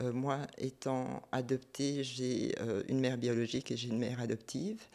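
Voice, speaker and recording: A woman's very deep, low voice with a dark, mellow tone and fairly even intonation. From South Korea, adopted to Belgium. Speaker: multidisciplinary artist. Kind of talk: interview.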